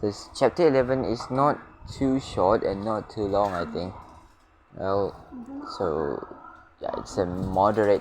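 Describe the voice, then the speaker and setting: A man with a non-native accent, ordinary pitch variation, a very slow pace and long, frequent pauses, over noticeable background noise. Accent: non-native English accent, noted by self. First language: not English. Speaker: gaming YouTuber. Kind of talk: casual let's-play commentary. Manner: hesitant, many fillers.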